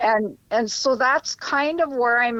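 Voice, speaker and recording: With a quiet background, a woman speaks using ordinary pitch variation. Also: dry, close sound with no echo. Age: 70s. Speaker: retired social worker. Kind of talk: casual interview chat.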